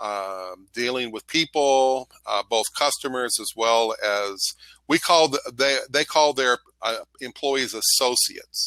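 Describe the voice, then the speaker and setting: With an American accent, a man speaks very slowly at medium pitch with ordinary pitch variation and a bright, sharp tone, recorded very cleanly with a silent background and a dry, close sound free of echo. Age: 60s. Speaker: online English tutor. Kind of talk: casual chat. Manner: halting; animated.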